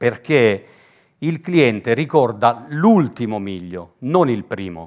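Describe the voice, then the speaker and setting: A man speaks at a very slow pace, his pitch swinging very widely. The background is quiet. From Italy, Lecce (Apulia); Apulia, Italy. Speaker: business coach. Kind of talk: workshop talk to audience. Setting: stage with audience. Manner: animated. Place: meeting room.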